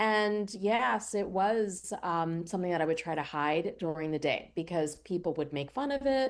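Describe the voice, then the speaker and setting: Over a quiet background, a woman with an American accent speaks at a moderate pace with hardly any pauses. She has an unremarkable speaking voice, fairly low in pitch, with lively intonation. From US Northeast, Pennsylvania near Philadelphia. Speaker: cookbook author and TV cooking show host. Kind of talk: radio interview.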